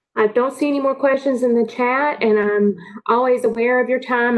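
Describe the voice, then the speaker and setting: At a moderate pace and with ordinary pitch variation, this is an unremarkable speaking voice. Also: woman. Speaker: workforce program presenter. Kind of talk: online meeting presentation.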